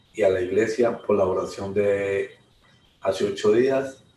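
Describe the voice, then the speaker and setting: A man talks at a very slow pace. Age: 60s. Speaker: churchgoer giving testimony. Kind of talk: testimony. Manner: halting.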